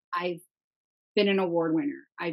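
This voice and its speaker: A woman speaks with lively intonation. The sound is dry and close, with no echo. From US Midwest, Minnesota. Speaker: online content creator. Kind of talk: casual chat.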